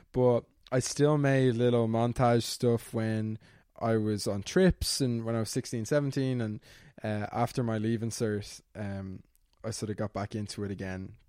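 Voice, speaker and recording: In a very clean recording with a silent background, a man speaks with a Dublin accent at medium pitch. His tone is dark and mellow, his intonation fairly even and his pace fairly slow. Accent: Dublin Irish, fairly posh. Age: 20s. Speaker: YouTuber and student. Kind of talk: casual interview.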